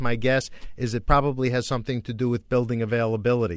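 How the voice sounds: A man talks at a fairly quick pace, his medium pitch held in fairly even intonation.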